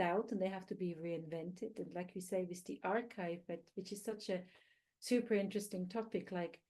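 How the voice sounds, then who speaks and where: A woman with a non-native accent, medium pitch, a dark, mellow tone, fairly even intonation and a moderate pace. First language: not English. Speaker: researcher, panelist. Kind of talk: panel discussion.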